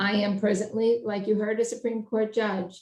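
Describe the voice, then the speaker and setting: This woman has a New York accent. Her intonation is monotone and flat. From Brooklyn, New York. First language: Italian. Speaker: judge and election candidate. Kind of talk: candidate speech at endorsement meeting.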